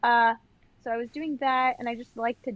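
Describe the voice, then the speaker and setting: A woman speaks at a fairly high pitch and a fairly quick pace. Her intonation is fairly even, and the sound is dry and close with no echo. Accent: Long Island. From Long Island, New York. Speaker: professional dancer and educator. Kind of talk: casual interview chat. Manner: chatty, many fillers like 'like'.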